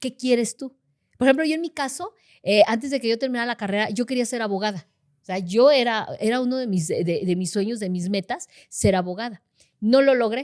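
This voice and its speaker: Fairly quick and lively in intonation, a woman speaks at a fairly high pitch. The sound is dry and close with no echo, on a very clean recording with a silent background. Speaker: intercessor in a church. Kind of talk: casual chat. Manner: loud.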